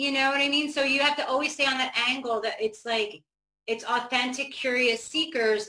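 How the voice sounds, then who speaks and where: A woman uses a raised, projected voice with a high pitch and a bright, sharp tone. Her loudness stays very even at a moderate pace. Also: fairly even intonation. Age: 50s. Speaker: yoga and meditation teacher. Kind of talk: casual interview.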